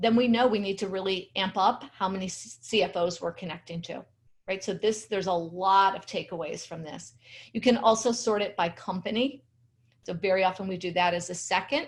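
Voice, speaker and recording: A somewhat breathy woman speaks at a fairly quick pace with big swings in loudness. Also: medium pitch for a woman, ordinary pitch variation. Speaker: LinkedIn strategy trainer. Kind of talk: webinar presentation. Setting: video webinar with screen share.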